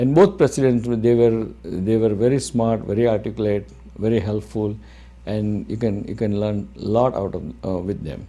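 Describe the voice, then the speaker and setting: Talking at a moderate pace, a man with a fairly low pitch and a dark, mellow tone uses ordinary pitch variation. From India, Gujarat. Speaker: physician and media owner; interviewee. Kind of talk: interview. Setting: studio. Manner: halting. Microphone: lapel.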